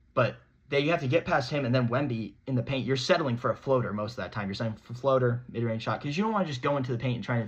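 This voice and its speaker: An animated, somewhat breathy man's voice at a very fast pace. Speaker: sports podcast host. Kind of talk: solo sports commentary monologue.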